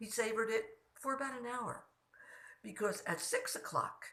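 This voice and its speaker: The tone is bright and sharp, with vocal fry. The pace is moderate. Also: woman. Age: 80s+. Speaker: storytelling vlogger. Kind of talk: casual storytelling monologue. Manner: conversational.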